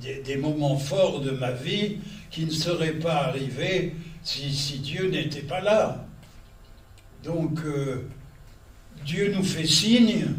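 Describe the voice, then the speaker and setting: A man with a fairly high pitch speaks at a very slow pace, with long, frequent pauses, ordinary pitch variation and audible room echo. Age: 80s+. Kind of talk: religious lecture to an audience. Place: hall. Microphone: podium.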